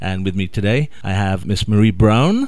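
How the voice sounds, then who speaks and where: A man with a Welsh accent, talking at a fairly quick pace. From Wales. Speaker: radio host. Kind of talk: interview.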